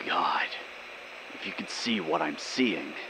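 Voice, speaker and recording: Whispering in a put-on character voice, a man talks at a fairly slow pace over loud background noise. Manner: shaky, portentous whisper.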